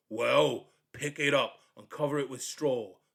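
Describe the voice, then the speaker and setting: In a booming, put-on character voice, a man speaks at medium pitch. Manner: commanding.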